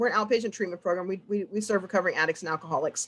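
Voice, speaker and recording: The pitch lands in the medium range. The speaker is a woman. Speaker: peer support specialist at addiction treatment program. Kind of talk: conference presentation. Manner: fast; halting, many fillers and repeats.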